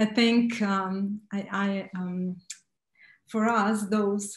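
With a Romanian accent, a woman speaks in a somewhat breathy, monotone, flat voice, with audible room echo against a quiet background. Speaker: writer. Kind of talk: panel discussion. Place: home room. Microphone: video call.

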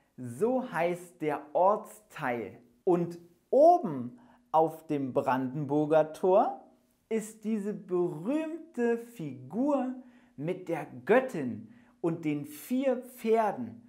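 Against a quiet background, a man with a high pitch and a dark, mellow tone speaks at a very slow pace, making very wide pitch swings. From Germany. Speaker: German teacher. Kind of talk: language lesson. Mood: cheerful, enthusiastic. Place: studio. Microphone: lapel.

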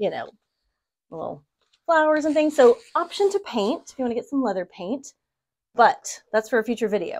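Pausing long and often, a woman speaks at a moderate pace with very wide pitch swings against a quiet background. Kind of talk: tutorial. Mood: playful, laughing. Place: home room. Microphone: lapel.

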